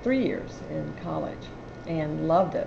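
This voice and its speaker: A woman talks with an American accent. Both audible room echo and noticeable background noise are present. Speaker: TV news anchor. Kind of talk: interview. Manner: halting, many repeated words.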